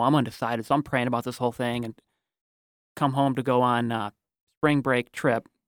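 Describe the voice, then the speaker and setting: Speaking at a fairly quick pace with an American accent, a man uses a plain, everyday voice at medium pitch and fairly even intonation, recorded very cleanly against a silent background with a dry, close sound and no echo. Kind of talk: casual interview.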